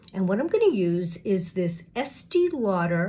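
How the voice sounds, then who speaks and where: A woman talks at a very slow pace. Her voice is somewhat breathy. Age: 60s. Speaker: beauty vlogger. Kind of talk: makeup tutorial. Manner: casual, halting with fillers.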